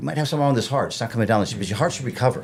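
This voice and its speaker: There is some breathiness in this voice. The rise and fall of pitch is ordinary. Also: man. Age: 50s. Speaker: fitness trainer. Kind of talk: casual chat. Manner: fast.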